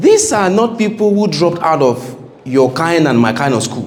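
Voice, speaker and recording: Against noticeable background noise and audible room echo, a man speaks at a high pitch with very wide pitch swings. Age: 30s. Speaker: engineering company owner and guest speaker. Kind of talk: seminar talk to students.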